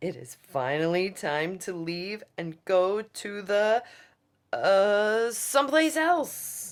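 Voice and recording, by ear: Booming and loud, a put-on character voice at middle pitch moves at a very slow pace.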